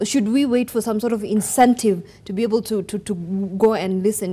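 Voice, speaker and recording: A woman's dark, mellow tone at medium pitch, fairly quick, with ordinary pitch variation. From Kenya. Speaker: TV news host. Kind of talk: TV talk show discussion. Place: studio. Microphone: lapel.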